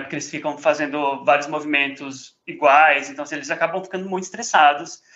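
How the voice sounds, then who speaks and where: Fairly high in pitch with fairly even intonation, a man talks in a plain, everyday voice. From São Paulo, Brazil. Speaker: podcast host. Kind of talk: casual chat.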